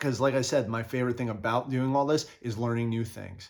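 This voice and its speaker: A man talks with an East Coast US accent at medium pitch. His pace is fairly quick. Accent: East Coast US, noticeable. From US East Coast, New Jersey. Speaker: video game and toy collector YouTuber. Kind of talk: casual vlog monologue. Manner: hesitant, many fillers.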